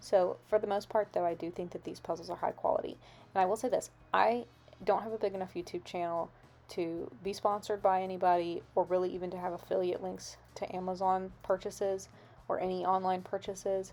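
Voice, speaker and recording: Soft-spoken and fairly quick, a woman speaks at a medium pitch in a dark, mellow tone with monotone, flat intonation. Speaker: craft and lifestyle YouTuber. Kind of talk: voiceover narration. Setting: home recording late at night. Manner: quiet to avoid waking others.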